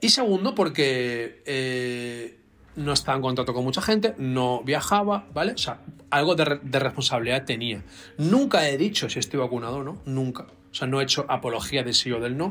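A man at a moderate pace with lively intonation. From Spain. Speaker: doctor of science and author; interview guest. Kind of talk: interview. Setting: video call. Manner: halting. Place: home room.

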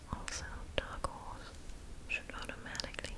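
A woman is whispering. She keeps a fairly slow pace. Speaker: ASMR creator. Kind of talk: ASMR comic reading. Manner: whispered, close up. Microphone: studio mic.

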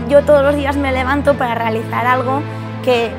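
Fairly quick speech from a woman, with clear music in the background. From Asturias, Spain. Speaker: chemical engineer, researcher. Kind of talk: interview answer. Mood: proud, warm. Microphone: lapel.

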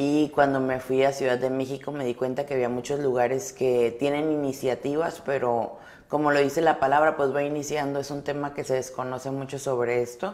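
A woman's very deep, low voice at a fairly quick pace, flat and monotone, with hardly any pauses. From Mexico, Sonora (Álamos); Sonora, Mexico. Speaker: educational psychologist; guest. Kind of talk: interview. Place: studio. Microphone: lapel.

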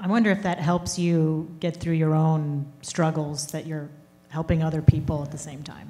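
A woman with a very deep, low pitch speaks at a moderate pace with fairly even intonation. Her loudness swings widely. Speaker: sports columnist; interviewer. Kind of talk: onstage interview. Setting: stage with audience. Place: stage. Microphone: handheld.

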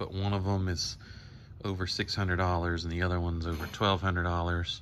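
Light background noise runs behind the speaker. He is a man with a very deep, low pitch. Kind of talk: tutorial. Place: garage.

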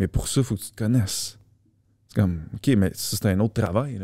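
A man with a Quebec accent speaks at a moderate pace, his fairly low voice dark and mellow with ordinary pitch variation. The sound is dry with no echo, against a quiet background. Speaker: fitness coach. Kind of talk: casual chat. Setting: studio. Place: studio. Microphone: studio mic.

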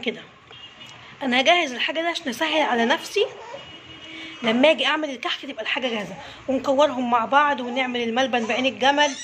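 A woman speaks at a fairly quick pace in a high pitch with ordinary pitch variation. Light background noise sits behind her. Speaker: home cook vlogger. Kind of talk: casual vlog chat. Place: kitchen. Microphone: phone near.

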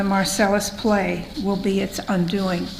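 A woman with a medium-pitched voice speaks at a fairly slow pace, with audible room echo and noticeable background noise. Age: 80s+. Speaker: public hearing speaker, clean water activist. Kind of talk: prepared statement at public hearing. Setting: public hearing hall.

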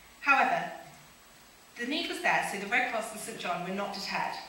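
At a fairly quick pace, a woman talks in a room with audible echo and light background noise. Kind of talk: prepared conference talk. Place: stage. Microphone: podium.

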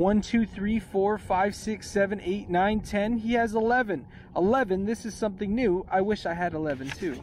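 Speaking with hardly any pauses, a man uses a high voice. The sound is dry with no echo, over light background noise. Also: ordinary pitch variation, moderate pace. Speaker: elementary school teacher. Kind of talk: children's picture book read aloud with a sing-song, rhyming bedtime-story lilt. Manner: playful, warm and gently rhythmic, bouncing through rhymes with asides to kids; casual and chatty between reading, youthful teacher friendliness. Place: boat. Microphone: phone near.

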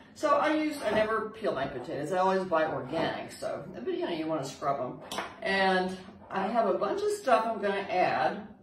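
A woman speaks at a fairly quick pace with noticeable noise behind her. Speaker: home cook host. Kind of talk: cooking tutorial chat. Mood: cheerful, chatty. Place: kitchen. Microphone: camera far.

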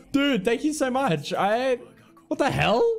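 There's faint music in the background as a man speaks. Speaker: beatboxer and game streamer. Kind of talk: casual gaming stream talk. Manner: energetic, joking. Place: home room.

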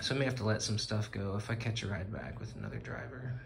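Over light background noise, a man speaks at a fairly quick pace and medium pitch in a plain, everyday voice. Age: 40s. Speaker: truck driver vlogger. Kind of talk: casual vlog monologue. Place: office. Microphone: phone near.

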